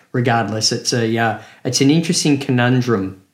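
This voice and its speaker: Somewhat breathy and fairly even in intonation, a man speaks with an Australian accent. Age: 50s. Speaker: podcast co-host, car YouTuber. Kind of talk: casual chat. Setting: remote video call.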